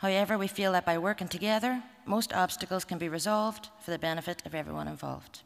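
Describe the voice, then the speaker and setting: A woman speaks very fast in a Derry accent. Her pitch is medium, with ordinary pitch variation. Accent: Northern Irish (Derry). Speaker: museum representative. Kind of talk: conference talk. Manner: formal.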